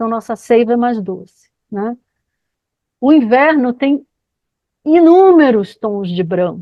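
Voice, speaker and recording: In a fairly high voice with very wide pitch swings, a woman speaks at a very slow pace with long, frequent pauses. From Rio de Janeiro, Brazil. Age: 60s. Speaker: biography counselor and lecturer. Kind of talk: lecture Q&A.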